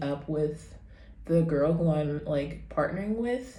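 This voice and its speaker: A woman's somewhat breathy, dark, mellow voice with ordinary pitch variation and audible room echo. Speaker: vlogger and beginner actor. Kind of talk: casual vlog chat.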